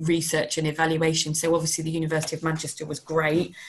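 Her pitch is fairly low. The woman's voice is somewhat breathy. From London. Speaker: dance company artistic director. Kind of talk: online workshop presentation. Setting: video call. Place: home room. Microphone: video call.

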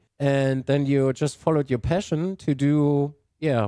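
A man's dark, mellow tone comes through with a dry sound with no echo against a quiet background. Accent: German. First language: German. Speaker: gaming YouTuber. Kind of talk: interview. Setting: video call. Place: home room. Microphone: video call.

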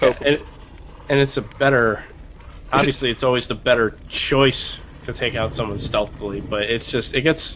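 With an ordinary speaking voice, a man talks at a moderate pace and a medium pitch, keeping his intonation fairly even. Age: 30s. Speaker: gaming show co-host. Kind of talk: casual chat.

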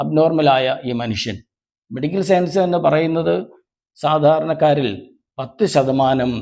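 Pitched fairly high, a man speaks in an ordinary speaking voice, his pitch varying in an ordinary way. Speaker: lay preacher. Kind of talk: sermon. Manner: formal.

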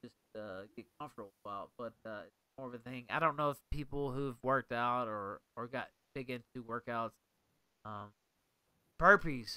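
A man with a bright, sharp tone and medium pitch speaks at a moderate pace with ordinary pitch variation, big swings in loudness and long, frequent pauses. The sound is dry with no echo over a quiet background. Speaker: livestream host. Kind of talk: casual livestream talk. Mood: reflective, low key. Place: home room.

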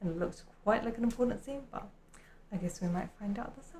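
A woman at a fairly quick pace, somewhat breathy, with ordinary pitch variation and light background noise. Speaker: anime commentator. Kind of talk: casual commentary. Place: home room. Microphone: earbuds.

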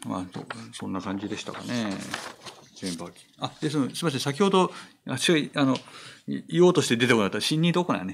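Over light background noise, a man talks at a fairly quick pace, his pitch swinging very widely and his loudness shifting a lot, with long, frequent pauses. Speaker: film critic and translator; film critic co-host. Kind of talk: casual chat. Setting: live stream. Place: studio. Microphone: studio mic.

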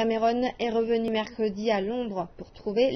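A woman's fairly slow, somewhat breathy delivery. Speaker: news anchor. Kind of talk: TV news read. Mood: serious, measured. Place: studio. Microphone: lapel.

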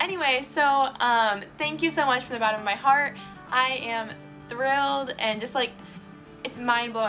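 Over clear background music, a woman with an American accent speaks in a raised, projected voice at a high pitch and moderate pace, with ordinary pitch variation. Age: 20s. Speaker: vlogger. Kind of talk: casual talk to camera. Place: home room. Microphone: phone near.

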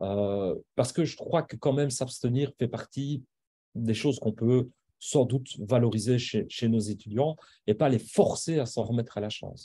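In a somewhat breathy voice with a dark, mellow tone, the speaker goes at a fairly slow pace with ordinary pitch variation. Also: man. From Belgium. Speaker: university professor and assessment specialist; university professor. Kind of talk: lecture. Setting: video call. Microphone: video call.

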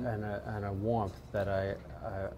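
Somewhat breathy and in a Bronx accent, the voice has a dark, mellow tone over light background noise. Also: man. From New York. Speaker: actor. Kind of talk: interview answer. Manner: hesitant, halting. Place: bar. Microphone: lapel.

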